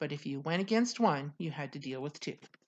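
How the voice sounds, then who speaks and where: A woman is speaking. Her intonation is lively. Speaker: author. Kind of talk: reading aloud. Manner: halting.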